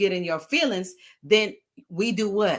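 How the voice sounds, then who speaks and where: Speaking at a moderate pace and medium pitch, the woman keeps an animated tone. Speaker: talk show host. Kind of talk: casual talk show discussion. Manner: loud at times; animated, conversational.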